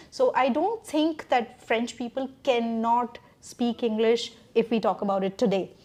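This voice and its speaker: A woman talks with an Indian accent in a high pitch. She speaks at a fairly slow pace with ordinary pitch variation. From India, Delhi. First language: Hindi. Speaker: podcast host, French teacher. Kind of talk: casual conversation.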